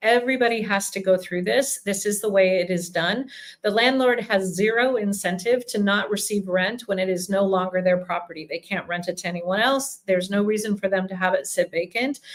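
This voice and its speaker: A woman talks at a fairly quick pace with hardly any pauses, at a medium pitch and with ordinary pitch variation. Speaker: relocation company CEO. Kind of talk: live Q&A. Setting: office, livestream. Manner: fast.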